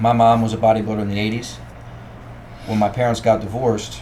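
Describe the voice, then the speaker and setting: Amid noticeable background noise and audible room echo, a man with a Baltimore accent speaks at a fairly low pitch with monotone, flat intonation. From Baltimore, Maryland. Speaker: strength coach. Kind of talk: podcast interview.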